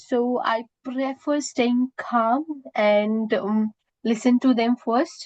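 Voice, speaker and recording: With an Indian accent, a woman speaks at a high pitch with ordinary variation, in a dry, close sound with no echo. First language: Indian language. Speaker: student job applicant. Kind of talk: mock job interview. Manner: halting, many fillers.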